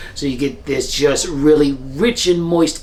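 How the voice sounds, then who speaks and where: Against noticeable background noise, a man speaks in an upbeat tone at a fairly high pitch. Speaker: home cook. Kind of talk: cooking video voice-over. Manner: casual, upbeat.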